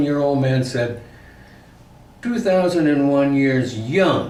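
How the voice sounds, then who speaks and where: Audible room echo surrounds a man speaking at a very slow pace. His pitch is fairly high and his intonation lively. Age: 70s. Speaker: retired YouTuber filming with partner. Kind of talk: casual chat.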